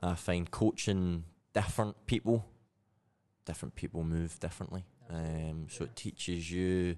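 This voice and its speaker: Speaking with a Scottish accent, a man has a very deep, low voice with a dark, mellow tone and fairly even intonation. He talks at a fairly quick pace broken by long, frequent pauses, over a quiet background. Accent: Scottish, still present. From Scotland, Glasgow. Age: 20s. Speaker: CrossFit athlete and weightlifter. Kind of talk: casual chat.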